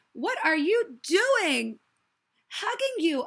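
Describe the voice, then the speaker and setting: A woman's put-on character voice, squeaky and extremely high-pitched, with very wide pitch swings. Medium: read story.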